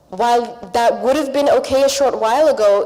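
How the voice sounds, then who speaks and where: A non-native accent amid noticeable background noise. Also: woman. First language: not English. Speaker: panelist, public broadcaster journalist. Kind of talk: panel discussion.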